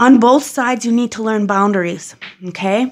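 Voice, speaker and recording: With a quiet background, a woman speaks fairly quickly and uses ordinary pitch variation. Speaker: tarot reader. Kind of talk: tarot reading commentary. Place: home room. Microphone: phone near.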